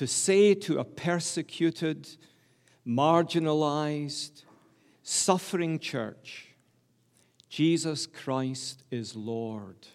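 In a Glasgow accent, the speech moves at a very slow pace with long, frequent pauses and ordinary pitch variation. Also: man, fairly high pitch for a man. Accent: Scottish (Glaswegian). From Glasgow, Scotland. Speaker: preacher. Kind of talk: sermon. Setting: church.

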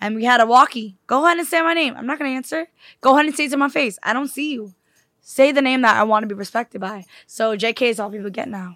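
A woman speaks very fast in a New York accent, her high pitch carrying a bright, sharp tone. Her pitch variation is ordinary. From New York City. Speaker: singer songwriter. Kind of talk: casual podcast interview.

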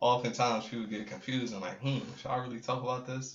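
Very fast speech from a medium-pitched man with an American accent and fairly even intonation. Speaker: visual artist and photographer. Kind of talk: casual chat.

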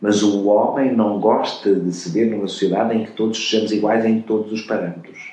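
A man's fairly low voice runs flat and monotone at a fairly quick pace, with hardly any pauses over noticeable background noise. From Portugal, Covilhã. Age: 60s. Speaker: retired advertising executive. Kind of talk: interview conversation.

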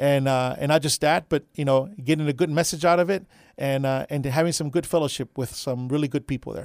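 A man with an American accent and a plain, everyday voice talks at a fairly quick pace, his fairly high pitch held in fairly even intonation, on a very clean recording with a silent background and a dry, close sound with no echo. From Texas, south side of San Antonio. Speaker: pastor. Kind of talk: radio interview.

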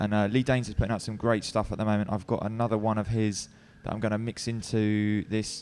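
With a London accent, a man speaks at a very fast pace and fairly low pitch in a very clean recording with a silent background. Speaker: radio DJ. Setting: live radio broadcast from a bar venue. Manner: chatty and easygoing with frequent filler ums and uhs; wry, self-deprecating humour.

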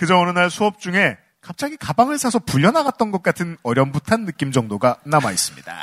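This voice moves at a fairly quick pace with very wide pitch swings. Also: man, high pitch for a man, dry, close sound with no echo. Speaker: podcast host reading listener stories. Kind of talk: casual chat and reading listener letters.

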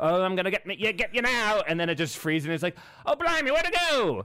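A man does a put-on character voice at a high pitch. He speaks at a fairly quick pace over light background noise. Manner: exaggerated, playful.

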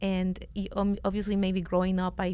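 This is a woman speaking. She talks with a Venezuelan accent. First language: Spanish. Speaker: company founder. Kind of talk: casual chat. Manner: talkative.

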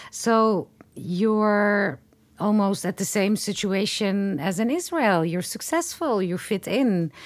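A woman's lively intonation at a very slow pace. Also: medium pitch for a woman, very clean recording, silent background. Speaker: podcast interviewer. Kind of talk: interview. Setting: studio.

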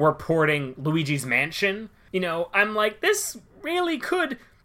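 A man's raised, projected voice, bright and sharp in tone, with very wide pitch swings. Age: 20s. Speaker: podcast co-host. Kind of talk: casual chat.

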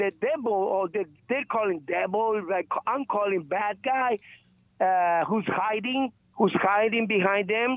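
Talking at a fairly slow pace, a man with a high pitch shows ordinary pitch variation. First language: not English. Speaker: caller. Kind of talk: call-in question. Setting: phone call. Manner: halting, repetitive.

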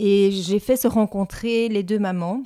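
A woman at medium pitch, very slow, with fairly even intonation and a dark, mellow tone, dry and close with no echo in a very clean recording with a silent background. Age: 60s. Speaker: volunteer. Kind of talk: testimony.

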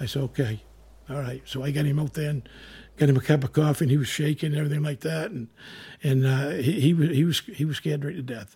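A man speaks very fast, his pitch fairly high and his tone dark and mellow. His voice is somewhat breathy, with ordinary pitch variation. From coastal Maine. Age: 60s. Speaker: retired Coast Guard member. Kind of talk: storytelling interview. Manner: halting, repetitive.

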